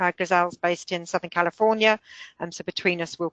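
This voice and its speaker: A woman with a London accent, fairly low in pitch, fairly quick, monotone and flat, in a dry, close sound with no echo over a quiet background. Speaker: software company founder and consultant. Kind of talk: webinar product presentation. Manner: hesitant, many filler words.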